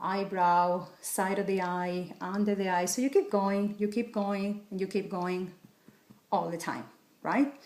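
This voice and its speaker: Her pace is fairly slow. The woman's medium-pitched voice keeps fairly even intonation. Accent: Spanish. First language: Spanish. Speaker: wellness coach. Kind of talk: tutorial.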